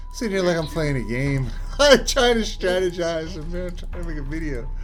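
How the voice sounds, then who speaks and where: A man's high-pitched voice with very wide pitch swings and big jumps in loudness, audible room echo, and music playing in the background. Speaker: game developer. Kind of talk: tutorial. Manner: fast; casual rambling.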